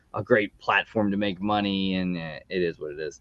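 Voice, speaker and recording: A man with an American accent, at a fairly quick pace. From US East Coast. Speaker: YouTube show host. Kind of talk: casual chat.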